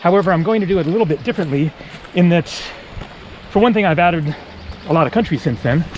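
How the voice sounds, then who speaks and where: Against noticeable background noise, this man's words come at a very fast pace. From Northern California. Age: 40s. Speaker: travel vlogger. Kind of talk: casual vlog narration while walking. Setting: outdoors on a hiking trail. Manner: relaxed, with frequent fillers.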